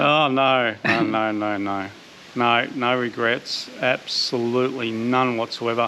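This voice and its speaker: Noticeable background noise sits behind this speaker. He is a man with an Australian accent. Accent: thick Australian. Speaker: vlogger. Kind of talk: casual chat.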